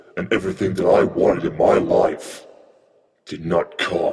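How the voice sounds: A put-on character voice takes on a menacing tone at a moderate pace. There is slight echo on the recording. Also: man.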